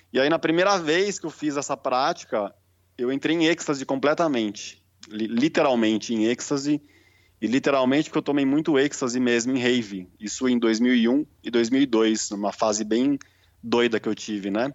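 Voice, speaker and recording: Moderately paced, a normal speaking voice carries ordinary pitch variation. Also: man, medium pitch for a man. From Brazil, São Paulo. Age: 30s. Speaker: holistic therapist. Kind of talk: casual interview.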